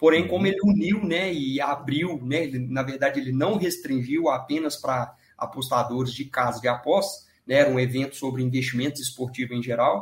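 Fairly quick and somewhat breathy, a man with a fairly high pitch speaks with ordinary pitch variation. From Minas Gerais, Brazil (Divinópolis, near Belo Horizonte). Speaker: sports betting trader. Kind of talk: podcast interview.

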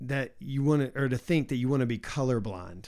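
An ordinary speaking voice with an American accent moves at a moderate pace on a very clean recording with a silent background. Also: man. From US South. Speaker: podcast host. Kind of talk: casual theological discussion.

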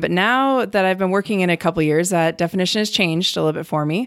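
An unremarkable speaking voice from a woman with an American accent, fairly low-pitched, with ordinary pitch variation at a fairly quick pace. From Cleveland, Ohio. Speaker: soil health extension specialist. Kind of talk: interview. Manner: casual.

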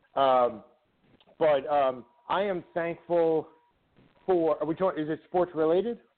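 With long, frequent pauses, a man speaks at a fairly slow pace, his pitch fairly high and its variation ordinary. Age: 40s. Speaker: sports radio guest co-host, hockey fan. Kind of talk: casual chat.

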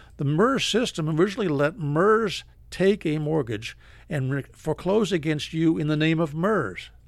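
Using a plain, everyday voice, a man speaks at a moderate pace with lively intonation and a fairly high pitch. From Philadelphia, then Maine. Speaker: foreclosure defense lawyer. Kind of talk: radio interview.

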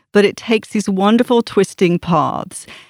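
In a very clean recording with a silent background and a dry, close sound with no echo, a woman uses a normal speaking voice, fairly high in pitch, with ordinary pitch variation at a moderate pace. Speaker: author giving book recommendation. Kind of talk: casual book recommendation. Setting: studio.

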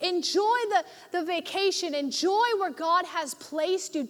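With an animated tone and lively intonation, a woman speaks at a fairly slow pace. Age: 20s. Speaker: youth pastor. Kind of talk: sermon. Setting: church with live congregation.

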